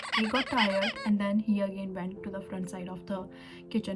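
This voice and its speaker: A woman speaks at a moderate pace and a medium pitch, her intonation monotone and flat, with music playing in the background. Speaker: YouTuber, international student. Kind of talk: personal storytelling vlog. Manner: halting.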